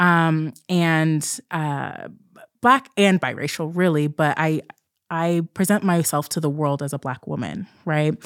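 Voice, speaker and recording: A woman with an unremarkable speaking voice, fairly low-pitched, at a fairly slow pace with ordinary pitch variation, on a very clean recording with a silent background. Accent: American. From southern Oregon, US West Coast. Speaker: clinical psychologist and podcast co-host. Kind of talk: casual chat.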